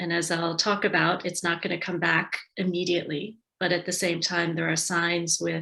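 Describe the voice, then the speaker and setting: A woman's fairly low, bright and sharp voice with vocal fry and an American accent at a moderate pace. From United States. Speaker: tourism and marketing advisor. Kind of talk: webinar presentation.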